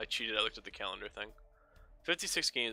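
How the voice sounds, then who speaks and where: Music plays in the background. A man is heard with a dry, close sound and no echo. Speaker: gaming commentator. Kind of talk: gameplay commentary. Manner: fast; casual, profane.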